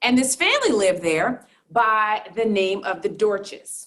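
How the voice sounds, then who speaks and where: With a Southern accent, a woman sounds animated, her intonation lively. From US South, Durham, North Carolina. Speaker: accounting professor and fraud expert. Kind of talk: talk to an audience. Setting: live talk with audience.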